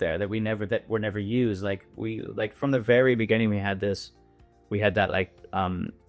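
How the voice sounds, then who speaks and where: A man with a Western Canadian accent talks at a fairly quick pace. Music can be heard in the background. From Canada, British Columbia. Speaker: winery owner and winemaker. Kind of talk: podcast interview answer. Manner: casual, hesitant.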